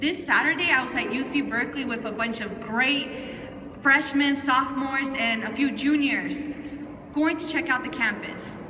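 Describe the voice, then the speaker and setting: A woman with a high-pitched voice speaks at a moderate pace, raised and projected. Noticeable background noise and audible room echo fill the recording. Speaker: youth advocate. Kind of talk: rally speech. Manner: loud; animated.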